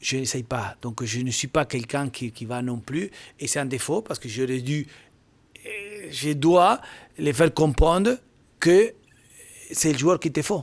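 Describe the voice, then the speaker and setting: Spoken in a Spanish accent, the lines come at a fairly slow pace with lively intonation and long, frequent pauses. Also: man, fairly high pitch for a man. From Argentina. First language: Spanish (speaking French). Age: 50s. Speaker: football agent and former scout. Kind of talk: podcast interview. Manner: halting.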